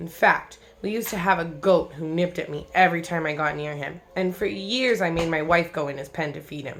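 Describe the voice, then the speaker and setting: A female-sounding, raspy, put-on character voice at a middle pitch moves along at a fairly quick pace. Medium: read story. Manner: warm, patient.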